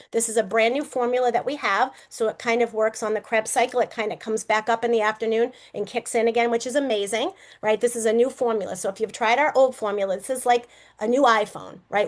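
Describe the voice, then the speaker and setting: Against a quiet background, a woman with a Boston accent talks at a fairly quick pace and a fairly high pitch. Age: 50s. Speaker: network marketing presenter. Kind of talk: sales pitch.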